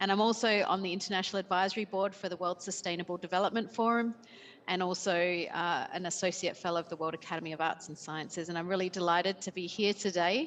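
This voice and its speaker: Talking at a very fast pace, a woman with an Australian accent holds a medium pitch and fairly even intonation. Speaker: company CEO. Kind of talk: panel introduction. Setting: remote call.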